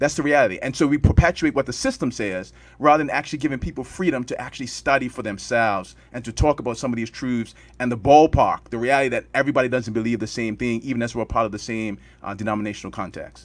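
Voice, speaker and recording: This man talks at a very fast pace, his medium pitch showing ordinary variation. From Bermuda. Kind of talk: panel discussion.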